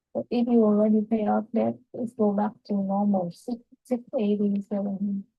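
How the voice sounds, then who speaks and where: In a Vietnamese accent, a woman speaks somewhat breathily with monotone, flat intonation. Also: medium pitch for a woman, moderate pace. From southern Vietnam, Saigon. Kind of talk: casual chat.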